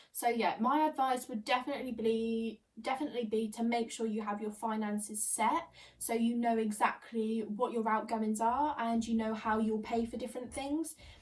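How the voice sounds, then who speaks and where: Against noticeable background noise, a woman speaks at a moderate pace with hardly any pauses, in a fairly high pitch with fairly even intonation. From northern England and Suffolk. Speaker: midwifery student and lifestyle vlogger. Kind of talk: casual Q&A vlog.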